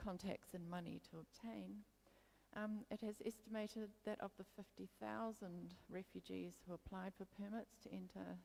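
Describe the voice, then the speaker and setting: This woman speaks with a New Zealand accent. Her pace is moderate. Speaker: photography historian. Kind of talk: conference talk. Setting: stage with audience.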